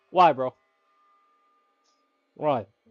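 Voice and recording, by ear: At a very slow pace, a man talks with ordinary pitch variation. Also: medium pitch for a man.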